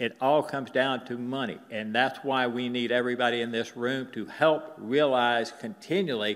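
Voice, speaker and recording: A man speaks in an ordinary speaking voice with an American accent, at a medium pitch and a moderate pace. His intonation is fairly even, and the background is quiet. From US South. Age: 60s. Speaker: cattle rancher; presenter, panelist. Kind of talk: conference presentation. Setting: stage with audience. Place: hall.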